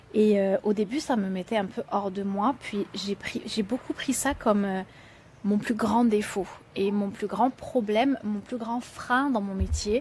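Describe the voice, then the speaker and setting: A woman's fairly high, somewhat breathy voice at a fairly slow pace with fairly even intonation. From France. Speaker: entrepreneur and children's author. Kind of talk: podcast interview. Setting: outdoors on a porch. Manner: conversational, many fillers.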